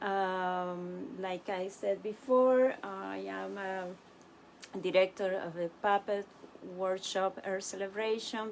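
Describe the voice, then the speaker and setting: Using a Spanish accent, a woman with a medium pitch speaks at a very slow pace with fairly even intonation and big swings in loudness. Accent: non-native English, Spanish. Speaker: puppet workshop director and teaching artist. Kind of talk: live-streamed workshop talk. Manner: halting, many fillers.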